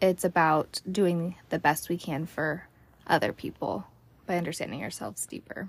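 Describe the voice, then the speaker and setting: A woman speaks with vocal fry at a fairly low pitch, with ordinary pitch variation. The recording is very clean, with a silent background. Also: moderate pace. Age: 30s. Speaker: podcast host and hairstylist. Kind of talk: casual chat. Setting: recorded in a closet at home.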